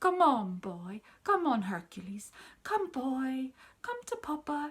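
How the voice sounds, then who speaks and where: Putting on a character voice, a woman speaks at a high pitch with very wide pitch swings, a gentle tone and a fairly slow pace. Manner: soft, gentle, coaxing.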